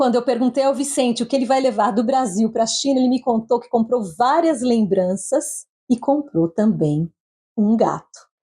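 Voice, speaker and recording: A woman with a Brazilian accent speaks in a high pitch with a dark, mellow tone. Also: ordinary pitch variation, moderate pace. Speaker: journalist, podcast host. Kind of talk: scripted narration; interview.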